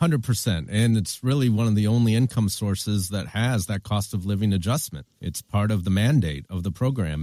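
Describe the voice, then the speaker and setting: A man with a Michigan accent speaks in a fairly low pitch. His tone is dark and mellow, with ordinary pitch variation. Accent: General American, Michigan. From US Midwest, Flint, Michigan. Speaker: founder of a retirement risk tool. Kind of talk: interview.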